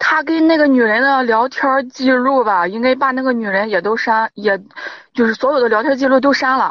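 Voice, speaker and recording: A woman's high pitch with ordinary pitch variation. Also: moderate pace. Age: 30s. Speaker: caller to advice show. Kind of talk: personal account of marital problem. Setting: phone call from a parked car. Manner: halting, repetitive.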